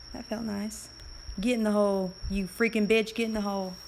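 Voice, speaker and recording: Over noticeable background noise, a woman talks in a flat monotone at a fairly high pitch. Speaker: game streamer. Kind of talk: live gameplay commentary. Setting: live stream.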